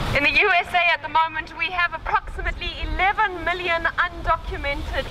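Against noticeable background noise, a woman speaks in a raised, projected voice. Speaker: activist speaker. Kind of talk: rally speech. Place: street.

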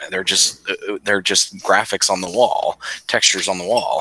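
A man's voice in a dry recording with no echo. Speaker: podcast co-host. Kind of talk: casual chat. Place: home room. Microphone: headset.

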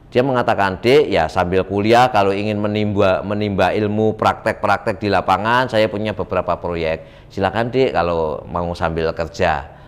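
A man's fairly low voice at a moderate pace, with ordinary pitch variation and hardly any pauses. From Semarang, Central Java; Central Java, Indonesia. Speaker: political candidate; candidate. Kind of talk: interview. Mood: relaxed, animated storytelling. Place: studio. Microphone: lapel.

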